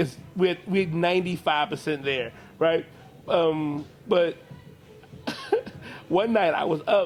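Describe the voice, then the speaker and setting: A man with an American accent speaks at a very slow pace in a high pitch, leaving long, frequent pauses over music in the background. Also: ordinary pitch variation. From South Philadelphia, US. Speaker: comedian. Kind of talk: interview. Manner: casual, slangy.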